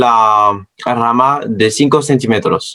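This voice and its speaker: A man is speaking. He has a non-native accent. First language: not Spanish (speaking Spanish). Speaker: science educator. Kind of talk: educational talk. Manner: halting.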